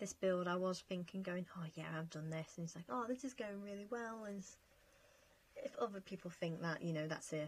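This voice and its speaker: A somewhat breathy woman's voice, medium in pitch with ordinary pitch variation and a fairly quick pace. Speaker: gaming youtuber. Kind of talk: casual chat over gameplay.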